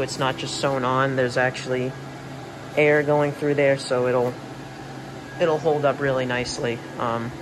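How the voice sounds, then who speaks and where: A man's fairly high voice at a moderate pace, monotone and flat in intonation, with audible room echo and noticeable background noise. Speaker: inflatable collector reviewer. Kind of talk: product review. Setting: at home late at night. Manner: hesitant with frequent ums.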